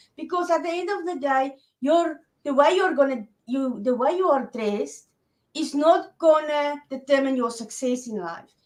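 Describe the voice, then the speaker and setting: A woman's high voice with lively intonation. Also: moderate pace. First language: Afrikaans. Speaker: online business coach for women. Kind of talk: interview.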